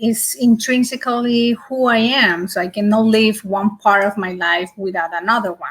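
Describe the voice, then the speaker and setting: Fairly high in pitch and somewhat breathy, a woman speaks at a fairly slow pace with fairly even intonation. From Colombia. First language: Spanish. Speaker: secular community volunteer. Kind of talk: panel discussion.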